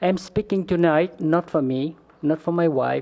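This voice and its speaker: In a dark, mellow tone, a man speaks fairly slowly at a fairly high pitch. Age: 60s. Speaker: mobile home park resident. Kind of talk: public comment speech. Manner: halting.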